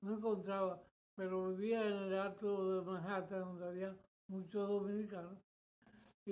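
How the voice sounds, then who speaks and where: A man speaks at a fairly slow pace in a voice pitched high for a man. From Dominican Republic, Santo Domingo. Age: 90s. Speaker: church member giving testimony. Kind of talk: testimony. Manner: halting.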